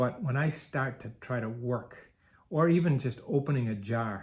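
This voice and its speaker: On a very clean recording with a silent background, a man speaks at a moderate pace and medium pitch, somewhat breathy, with ordinary pitch variation. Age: 50s. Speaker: marathon coach and runner. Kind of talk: personal video blog monologue.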